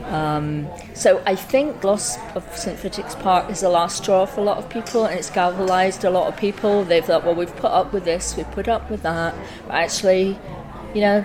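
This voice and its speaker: Noticeable background noise and audible room echo surround a woman with an Aberdeen accent. Her medium pitch shows ordinary variation as she talks at a moderate pace. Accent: Aberdeen Scottish. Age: 60s. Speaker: community activist. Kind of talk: interview.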